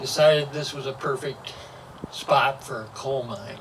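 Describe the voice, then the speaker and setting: A man speaks with a Midwestern US accent at a fairly slow pace. Noticeable background noise runs behind him. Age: 80s+. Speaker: local historian. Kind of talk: public talk.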